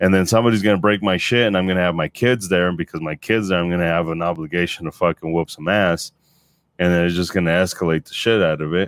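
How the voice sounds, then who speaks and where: In a very deep, low pitch, a man speaks at a very fast pace with an animated tone. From US, Mexican-American family. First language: Spanish. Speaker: podcast co-host. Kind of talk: casual banter, profane. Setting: live stream with chat. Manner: profane, animated, laughs often.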